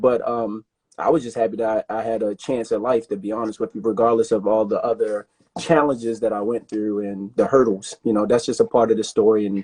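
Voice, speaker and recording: In a dry, close sound with no echo, a man with an American accent speaks at a fairly quick pace, his dark, mellow tone set at medium pitch with fairly even intonation. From Baltimore, US. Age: 30s. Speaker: rugby player and personal trainer. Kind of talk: casual interview chat.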